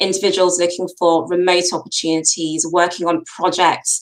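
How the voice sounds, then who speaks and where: With a British accent, a woman speaks at a moderate pace and a fairly low pitch. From UK. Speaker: co-founder of a careers platform. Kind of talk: interview.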